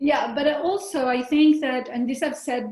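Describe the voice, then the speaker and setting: Here a woman talks with an Italian accent. Her pace is moderate, with ordinary pitch variation. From Italy (Rome). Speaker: novelist. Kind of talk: interview. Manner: halting.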